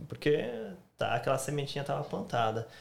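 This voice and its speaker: A man speaks in a somewhat breathy voice. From Brazil, Santa Catarina. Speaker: YouTuber. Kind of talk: casual chat.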